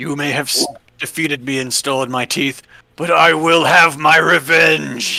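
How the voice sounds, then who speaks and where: A man puts on a raspy character voice, fairly high in pitch. His pace is moderate. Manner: vengeful, menacing.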